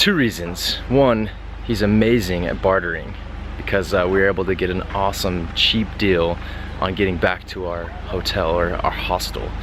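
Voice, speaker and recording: A man talking at a moderate pace, with noticeable background noise and audible room echo. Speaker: travel vlogger. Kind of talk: travel vlog narration.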